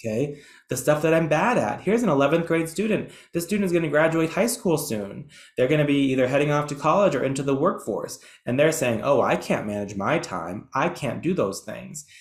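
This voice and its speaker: Talking fairly quickly, a man with a fairly high voice and vocal fry uses lively intonation amid audible room echo. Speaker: educational presenter. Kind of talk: webinar lecture. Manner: fast.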